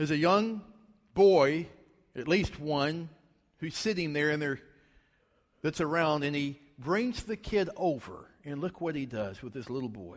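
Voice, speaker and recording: With a Southern US accent and lively intonation, the speaker moves at a fairly slow pace with long, frequent pauses. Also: man, fairly high pitch for a man. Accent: Southern American. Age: 40s. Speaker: guest preacher. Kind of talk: sermon.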